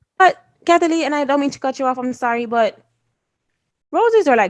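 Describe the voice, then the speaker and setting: A woman speaks in an animated tone at a fairly quick pace, her pitch swinging very widely. The recording is very clean with a silent background. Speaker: podcast co-host. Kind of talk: casual chat. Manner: fast.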